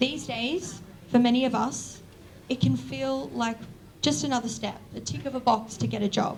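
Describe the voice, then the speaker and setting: A woman with an Australian accent talks at a moderate pace and a fairly high pitch, her voice swinging very widely. Noticeable background noise and audible room echo fill the recording. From Australia, Newcastle NSW. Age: 20s. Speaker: university student, event speaker. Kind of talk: opening speech at public lecture. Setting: lecture event with live audience.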